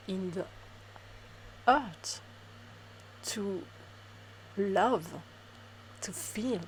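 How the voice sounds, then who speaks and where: A woman speaks in a French accent at a medium pitch. Her intonation is lively. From France. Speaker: spiritual reader. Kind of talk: spiritual talk to camera.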